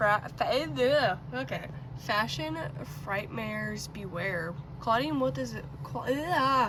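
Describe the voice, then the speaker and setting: Very slow speech comes through with audible room echo. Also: woman. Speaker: doll collector vlogger. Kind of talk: casual unboxing review.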